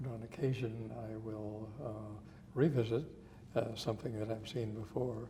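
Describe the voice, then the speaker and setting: A man speaks in a monotone, flat way. Noticeable background noise and audible room echo surround him. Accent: American. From Montana. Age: 70s. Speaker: photographer, retired physician. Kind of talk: interview. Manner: hesitant, many fillers.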